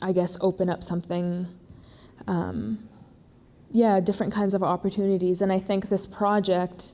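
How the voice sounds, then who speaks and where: At a moderate pace, a woman with a medium pitch and a dark, mellow tone speaks in a flat monotone, leaving long, frequent pauses. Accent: American. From born in Iraq, raised abroad from a very young age. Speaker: visual artist. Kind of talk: artist talk interview. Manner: halting, many fillers.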